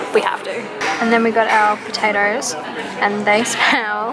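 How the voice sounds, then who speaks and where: Clear music runs behind a woman as she talks. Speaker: food vlogger. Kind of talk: casual vlog chat. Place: cafe.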